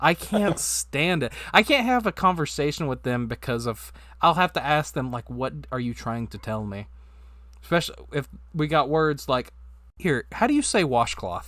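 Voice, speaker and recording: With an American accent, a man talks at a moderate pace in a fairly high pitch, his bright, sharp tone carrying lively intonation over a very clean recording with a silent background. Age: 20s. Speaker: podcast co-host. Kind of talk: casual chat.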